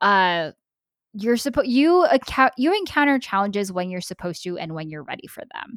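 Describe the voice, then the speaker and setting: With a Californian accent, a woman speaks in an animated tone at a moderate pace, the sound dry and close with no echo on a very clean recording with a silent background. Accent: General American (Californian). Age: 20s. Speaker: YouTube content creator. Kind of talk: casual chat.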